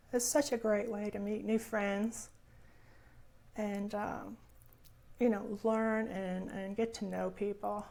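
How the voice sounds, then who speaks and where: A soft-spoken woman talks very slowly at a fairly high pitch, with a dark, mellow tone. Her intonation is monotone and flat, broken by long, frequent pauses. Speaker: crafting YouTuber. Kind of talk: casual vlog chat. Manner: halting, many fillers.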